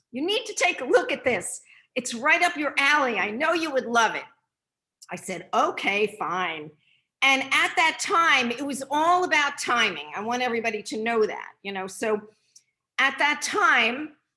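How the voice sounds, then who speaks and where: A woman's high, raised, projected voice with a bright, sharp tone, very wide pitch swings and a moderate pace. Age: 60s. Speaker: nutrition product distributor. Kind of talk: testimony.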